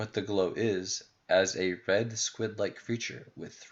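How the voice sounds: The speaker reads in a natural reading voice whose intonation stays fairly even.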